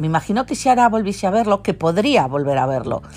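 A woman with a medium pitch speaks with vocal fry and very wide pitch swings. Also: very clean recording, silent background. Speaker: podcaster. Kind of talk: casual solo monologue.

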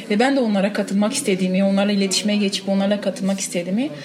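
Very rapid speech from a woman, with clearly audible noise in the background. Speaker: cyclist, women's cycling group member. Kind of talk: interview. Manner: halting.

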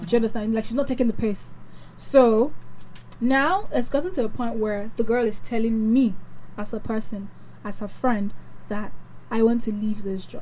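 With a Nigerian accent, the speaker talks at a moderate pace with ordinary pitch variation and long, frequent pauses. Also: woman, fairly high pitch for a woman. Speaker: radio host. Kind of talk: casual chat. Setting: studio. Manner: animated.

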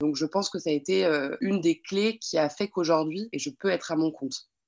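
A woman with a fairly low voice and ordinary pitch variation speaks at a moderate pace, the sound dry and close with no echo. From Lyon area, France. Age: 30s. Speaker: wedding planner. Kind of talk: interview. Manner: halting, many fillers and repetitions.

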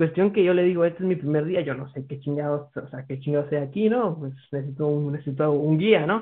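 The man's pitch is fairly high and varies in an ordinary way. He talks at a very fast pace. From Guatemala. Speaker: podcast guest. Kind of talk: casual chat.

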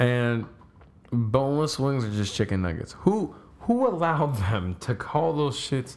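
A man at medium pitch and a fairly slow pace, with lively intonation. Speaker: podcast host. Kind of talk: casual chat. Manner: energetic.

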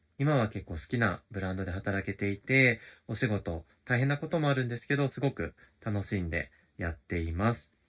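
The recording is very clean, with a silent background. A man speaks at a moderate pace and a fairly low pitch, using lively intonation. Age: 30s. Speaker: podcast host. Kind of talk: casual solo diary talk. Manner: halting, many fillers.

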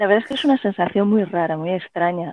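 A woman talks in a normal speaking voice. Her pitch sits in the medium range and varies in an ordinary way. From Spain, Elche (Alicante). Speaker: writer and playwright. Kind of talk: interview.

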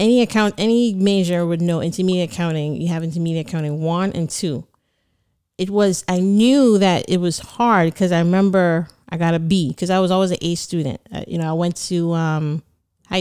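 A woman with a Caribbean accent speaks at a fairly low pitch in a dark, mellow tone. Her pace is moderate and her pitch variation ordinary. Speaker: certified public accountant and business owner. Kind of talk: casual interview.

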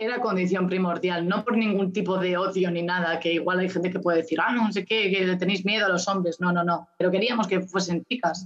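Speaking fairly quickly with hardly any pauses, a woman has an unremarkable speaking voice, medium pitch, fairly even intonation and very even loudness. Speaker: musician and community manager. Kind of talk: interview.

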